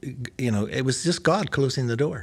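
A man with an American accent talks at a moderate pace in a medium pitch, his intonation lively. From Belfast, Northern Ireland. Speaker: pastor and seminary-trained author. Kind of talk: casual interview conversation.

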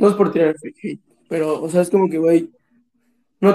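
A man with a Mexican accent speaks at a moderate pace in a high voice, his tone dark and mellow and his intonation fairly even. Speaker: podcast co-host. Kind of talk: casual chat. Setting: same room as co-host.

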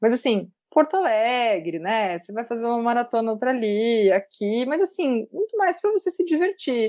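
A woman speaks at a moderate pace with hardly any pauses, her fairly high voice dark and mellow. Her pitch swings very widely, and the sound is dry and close with no echo against a quiet background. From interior of São Paulo state, Brazil (Pedreira). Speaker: sports content creator. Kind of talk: casual chat.

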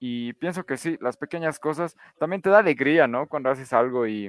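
A man with a normal speaking voice, fairly high pitch, a fairly quick pace, and a dry, close sound with no echo. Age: 20s. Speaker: podcast panelist. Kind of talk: casual panel discussion.

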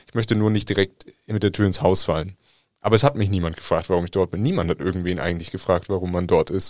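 A man speaks at a very fast pace in a very deep, low voice with ordinary pitch variation. The sound is dry and close with no echo, and the recording is very clean over a silent background. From Germany. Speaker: journalist. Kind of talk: casual chat.

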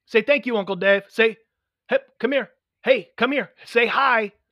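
A man speaks in an extremely high pitch with a raised, projected voice, fairly even intonation and a fairly slow pace, leaving long, frequent pauses, in a dry, close recording with no echo and a quiet background. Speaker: podcast co-host. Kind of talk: casual banter. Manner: joking, bantering.

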